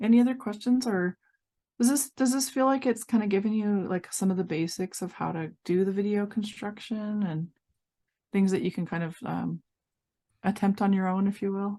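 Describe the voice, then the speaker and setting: A woman's dark, mellow voice in an American accent, medium in pitch with ordinary pitch variation. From Montana. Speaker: workshop instructor. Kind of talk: online workshop teaching. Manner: fast; drops word endings.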